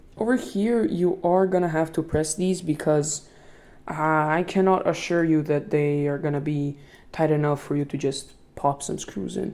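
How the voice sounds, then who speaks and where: A woman with a non-native accent and a very deep, low pitch, dark and mellow in tone, with ordinary pitch variation at a moderate pace. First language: not English. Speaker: tech tutorial youtuber. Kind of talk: tutorial. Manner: halting.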